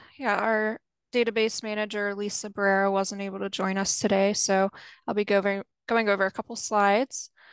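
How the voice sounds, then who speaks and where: Over a quiet background with a dry sound and no echo, a woman talks at a fairly quick pace in an unremarkable speaking voice, medium in pitch with fairly even intonation. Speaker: water resources specialist. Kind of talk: webinar presentation. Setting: video call. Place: home room. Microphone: video call.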